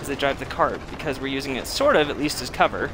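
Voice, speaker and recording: A man speaks fairly quickly. Behind him, music can be heard. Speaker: gaming streamer. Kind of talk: live gameplay commentary. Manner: quiet; halting.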